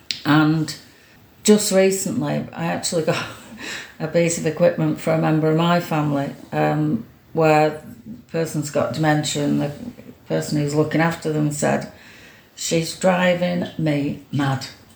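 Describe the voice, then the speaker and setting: The speech comes at a fairly slow pace with long, frequent pauses. Audible room echo and noticeable background noise are present. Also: woman. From Greater Manchester, Stockport. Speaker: former mayor and community volunteer. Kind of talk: casual interview. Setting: at home.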